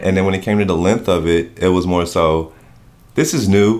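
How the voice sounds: This man has a low-pitched voice with a slightly mellow tone. He speaks with an American accent. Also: ordinary pitch variation, moderate pace.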